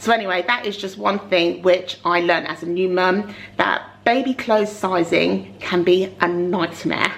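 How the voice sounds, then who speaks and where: With noticeable noise behind her, a woman at a medium pitch talks at a moderate pace with hardly any pauses and fairly even intonation. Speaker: mummy vlogger. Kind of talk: casual talk to camera.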